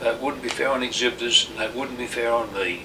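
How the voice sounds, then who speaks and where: A man's medium-pitched voice is heard with noticeable background noise. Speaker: gardener and vegetable show judge. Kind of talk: oral history interview answer.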